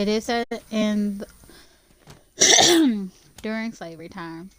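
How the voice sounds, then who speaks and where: At a very slow pace, a woman with an American accent speaks at a fairly high pitch with lively intonation. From Louisiana, US South. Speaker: streamer. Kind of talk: casual chat while gaming livestream. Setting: livestream while gaming.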